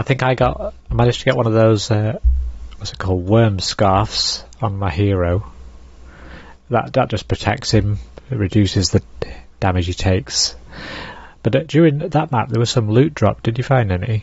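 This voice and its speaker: Somewhat breathy and relaxed in tone, a man speaks in a fairly low pitch at a moderate pace with long, frequent pauses. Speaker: gaming streamer. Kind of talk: casual livestream commentary. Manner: relaxed, explanatory.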